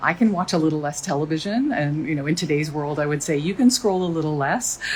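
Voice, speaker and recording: A woman with a Canadian accent talks at a very fast pace in a very deep, low voice with lively intonation, over noticeable background noise. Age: 60s. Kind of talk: casual social media video. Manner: animated.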